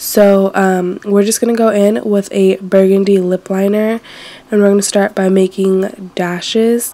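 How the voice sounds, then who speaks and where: In a flat monotone, a woman speaks fairly slowly at a medium pitch with very even loudness amid noticeable background noise. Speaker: beauty vlogger. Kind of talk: makeup tutorial talk to camera. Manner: casual, chatty.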